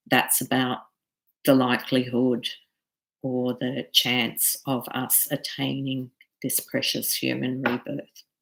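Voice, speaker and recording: A woman speaks at a very deep, low pitch with vocal fry. Her monotone, flat intonation comes at a very slow pace. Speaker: Buddhist teacher. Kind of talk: lecture.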